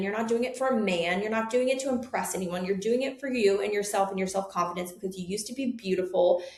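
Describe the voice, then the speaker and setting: A woman speaks in an animated tone at a fairly high pitch. Audible room echo surrounds her voice. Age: 30s. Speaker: nurse practitioner and med spa owner. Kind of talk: interview.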